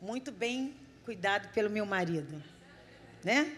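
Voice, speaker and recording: A woman's voice makes very wide pitch swings. Audible room echo and noticeable background noise surround her. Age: 50s. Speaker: missionary preacher. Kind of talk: sermon. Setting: church service.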